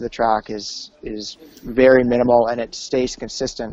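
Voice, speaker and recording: This man talks in a Western Canadian accent at a fairly slow pace. His medium pitch stays flat and monotone. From British Columbia, Canada. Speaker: ski instructor. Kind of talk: casual interview.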